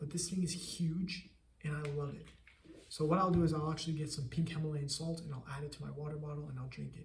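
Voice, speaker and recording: Somewhat breathy speech comes at a fairly quick pace in monotone, flat intonation. Audible room echo surrounds it. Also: man. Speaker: entrepreneur vlogger. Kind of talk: casual vlog monologue. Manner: fast, stuttering at times.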